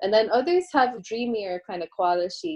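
The speaker is a woman. She talks with an Irish Midlands accent. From Ireland, County Offaly (Midlands). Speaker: composer. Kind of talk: casual interview.

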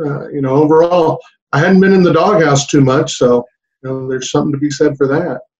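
A somewhat breathy man with a Texan accent, fairly high-pitched, fairly even in intonation and fairly quick in pace. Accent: Texan American. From South Texas. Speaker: high school basketball coach. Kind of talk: casual interview chat.

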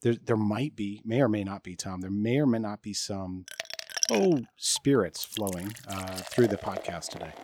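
A man with an American accent and a normal speaking voice, fairly low pitch, ordinary pitch variation, big swings in loudness, and a moderate pace. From US Midwest (Michigan). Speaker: tech podcast co-host. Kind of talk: casual chat. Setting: outdoors by a pool.

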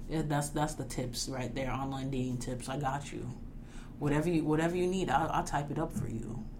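Over noticeable background noise, a woman with a New York accent talks at a fairly quick pace in a very deep, low voice. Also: ordinary pitch variation. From New York suburbs. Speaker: podcast co-host, college student.

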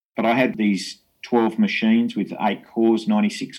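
In an Australian accent, a man speaks at medium pitch with monotone, flat intonation. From Tasmania, Australia (Hobart). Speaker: astrophysicist. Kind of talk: interview.

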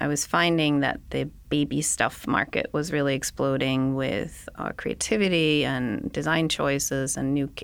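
A woman with a Danish accent speaks at a very deep, low pitch and a moderate pace, with fairly even intonation, very even loudness and hardly any pauses. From Denmark. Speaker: podcast host and designer. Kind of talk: interview conversation.

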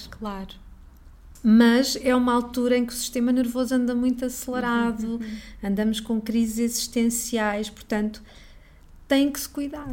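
Long, frequent pauses break up speech delivered with monotone, flat intonation. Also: woman, high pitch for a woman, moderate pace, big swings in loudness. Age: 40s. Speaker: astrologer. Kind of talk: interview.

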